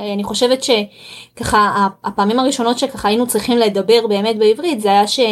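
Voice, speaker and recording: A woman's fairly high voice with a Russian accent, moderate pace and fairly even intonation. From Israel, Russian-speaking immigrant family. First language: Russian (speaking Hebrew). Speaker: home-education graduate and mother. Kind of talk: podcast interview. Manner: halting, frequent repetitions.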